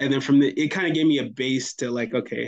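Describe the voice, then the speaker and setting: The pace is moderate and the pitch variation ordinary. It is an unremarkable speaking voice with an American accent. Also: man. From US South, Fayetteville, North Carolina. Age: 20s. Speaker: music producer. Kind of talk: casual interview chat.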